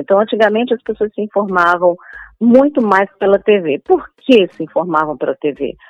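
Heard with a dry, close sound with no echo, a woman talks at a moderate pace with lively intonation. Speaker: journalist and TV presenter. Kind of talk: interview. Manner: hesitant, many fillers.

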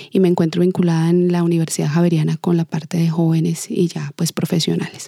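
Noticeable background noise accompanies a woman with a fairly low pitch who talks at a very fast pace in a monotone, flat intonation, with a dry, close sound with no echo. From southern Colombia, Ipiales (Nariño). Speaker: dance teacher and choreographer. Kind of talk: interview.

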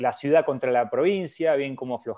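A man talks at a fairly quick pace with ordinary pitch variation and a dark, mellow tone. The background is quiet. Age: 30s. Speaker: cardiologist. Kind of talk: interview. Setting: live stream.

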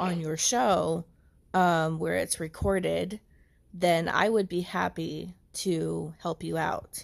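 At a very slow pace, a woman talks with an American accent in a very clean recording with a silent background. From USA. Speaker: caller. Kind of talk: casual chat.

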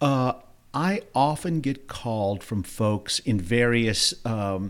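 On a very clean recording with a silent background, a man talks at a very slow pace with a New Orleans accent. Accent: New Orleans Southern US. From New Orleans, Louisiana. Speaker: real estate agent. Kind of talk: interview.

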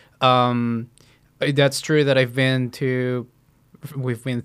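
A man with a Spanish accent speaks at a very slow pace and medium pitch. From central Mexico. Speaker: podcast guest. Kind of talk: casual chat.

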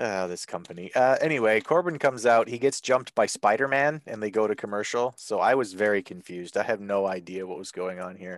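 A man with an ordinary speaking voice talks at a fairly quick pace in a fairly low pitch, with hardly any pauses, ordinary pitch variation and big swings in loudness. The sound is dry and close with no echo, over a quiet background. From Canada. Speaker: wrestling podcast host. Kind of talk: casual chat.

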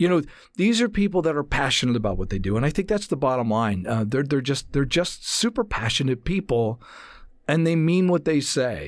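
This man has an American accent and a fairly high pitch, talking at a fairly quick pace. His pitch swings very widely, and the recording is very clean with a silent background. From New Jersey, US. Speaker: voice actor and casting booth director. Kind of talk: casual interview. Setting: studio.

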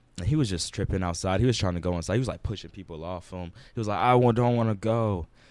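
A man's fairly low voice at a very fast pace, ordinary pitch variation, very clean recording with a silent background. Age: young. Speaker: college basketball player. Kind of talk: casual chat.

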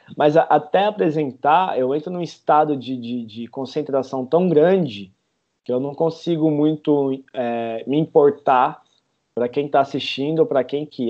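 A man talks at a moderate pace in an ordinary speaking voice, fairly high in pitch and with lively intonation. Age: 30s. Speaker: parkour instructor. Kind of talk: interview.

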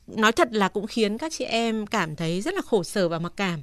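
In an ordinary speaking voice, a woman talks at a medium pitch and moderate pace with lively intonation. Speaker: radio host. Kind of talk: call-in advice show. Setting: studio. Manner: polite.

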